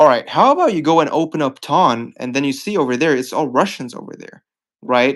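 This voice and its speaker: With an American accent, a man speaks fairly quickly in an animated tone, his fairly high voice showing ordinary pitch variation and big swings in loudness. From Saudi Arabia, westernized area, American schooling. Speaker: crypto project developer, tax firm owner. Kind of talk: casual livestream chat.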